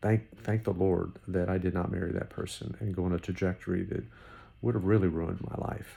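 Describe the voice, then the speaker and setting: A man with a very deep, low, somewhat breathy voice speaks at a moderate pace with ordinary pitch variation. His tone is dark and mellow, and the recording is very clean with a silent background. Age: 60s. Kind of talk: unscripted devotional talk. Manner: halting, repetitive; conversational.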